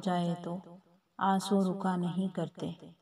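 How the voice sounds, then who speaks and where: In a sad tone, a woman of medium pitch speaks with a dark, mellow, somewhat breathy voice. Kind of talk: Urdu poetry reading. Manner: sad, emotive.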